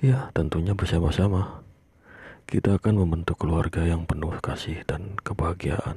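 This man's pitch is very deep and low. His pitch variation is ordinary. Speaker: ASMR creator playing a husband. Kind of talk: whispered ASMR roleplay, soothing husband talking to pregnant wife. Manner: hushed, soft-spoken, slow and tender.

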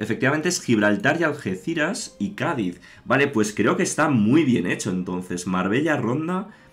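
There is soft music faintly behind him. The man's delivery is neither fast nor slow. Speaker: gaming streamer. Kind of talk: casual gameplay commentary. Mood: enthusiastic. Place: home room.

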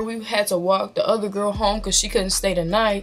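A woman at a moderate pace with faint music in the background. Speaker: vlogger. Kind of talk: casual storytime vlog chat. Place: home room. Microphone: phone near.

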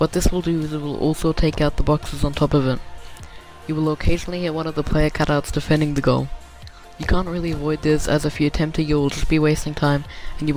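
A man talks very fast at a fairly high pitch while music plays in the background. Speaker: video game guide maker. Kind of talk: game tutorial narration.

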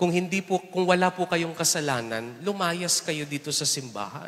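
Ordinary pitch variation and a fairly high pitch mark a man talking at a moderate pace. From Philippines. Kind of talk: homily at Mass, preacher talking to the congregation with humor and everyday examples. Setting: church, Mass with congregation. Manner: animated, conversational, teasing the congregation with rhetorical questions; switches between Tagalog and English, warm and humorous. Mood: earnest, lightly humorous. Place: church. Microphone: handheld.

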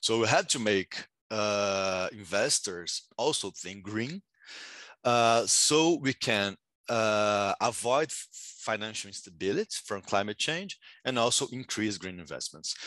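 Against a quiet background, a man's fairly low voice has a bright, sharp tone and ordinary pitch variation, moving at a fairly slow pace with a dry sound and no echo. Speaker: economics graduate student and session moderator. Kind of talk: academic conference presentation. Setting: video call. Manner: halting, many filler words. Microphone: video call.

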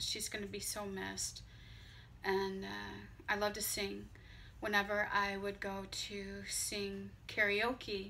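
Light background noise is present. Over it, a woman talks at a fairly slow pace. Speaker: vlogger. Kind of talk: casual vlog chat. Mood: warm, slightly emotional tribute. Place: home room. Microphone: phone near.

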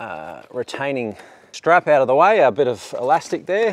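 The sound is dry with no echo as a man speaks with an Australian accent. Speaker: DIY car channel host. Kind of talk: tutorial. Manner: casual, upbeat. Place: open country.

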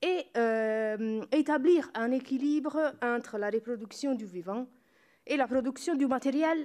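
Over a quiet background, a woman with a dark, mellow tone speaks at a fairly slow pace. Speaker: university researcher; panelist. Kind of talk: conference talk. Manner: halting, many hesitations and self-corrections. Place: hall. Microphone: podium.

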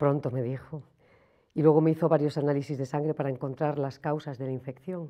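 A woman with a very deep, low pitch, monotone, flat intonation and a fairly quick pace over a quiet background. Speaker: person living with HIV. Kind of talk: scripted testimony. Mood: sad, withdrawn, hesitant. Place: studio.

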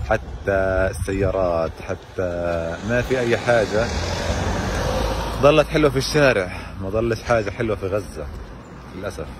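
Over noticeable background noise, a man talks at a fairly slow pace with long, frequent pauses, in a dry sound with no echo. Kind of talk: walking selfie commentary. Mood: wistful, sad. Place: street. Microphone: phone near.

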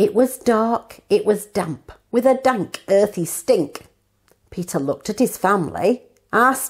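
A natural reading voice with ordinary pitch variation. The background is quiet.

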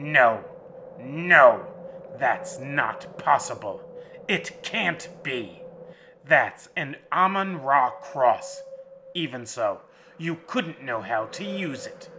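A man's put-on character voice, high-pitched, guttural and menacing in tone, very slow, with long, frequent pauses. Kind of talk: horror audiobook villain. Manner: sneering, menacing, then stunned.

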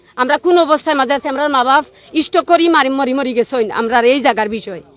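A high-pitched woman talks with ordinary pitch variation. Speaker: protester at human chain. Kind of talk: testimony.

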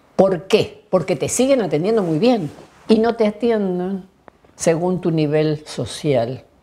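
The woman's voice has a fairly low pitch and a dark, mellow tone. Her intonation is lively while her pace is very slow. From Argentina, Bariloche (Patagonia); Argentina. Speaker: health statistician. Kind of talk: oral history interview. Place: home room.

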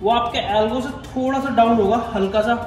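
Speaking very slowly in a flat monotone, a man with an extremely high pitch is heard over audible room echo and light background noise. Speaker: fitness trainer. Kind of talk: tutorial. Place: gym. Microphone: phone near.

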